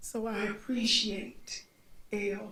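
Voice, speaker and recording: The voice is somewhat breathy, with an American accent and fairly even intonation. Room echo is audible. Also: woman. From US South (Montgomery, Alabama). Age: 60s. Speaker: panelist. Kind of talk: panel discussion.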